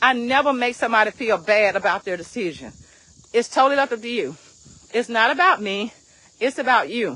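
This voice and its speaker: An animated woman's voice, fairly high and bright and sharp in tone, with lively intonation, a fairly quick pace and long, frequent pauses. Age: 60s. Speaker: direct sales team leader and motivational coach. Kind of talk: motivational vlog talk. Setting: outdoors, walking.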